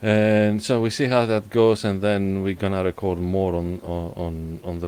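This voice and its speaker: A man with a Greek accent. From Greece. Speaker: podcast host. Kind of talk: casual chat. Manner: halting.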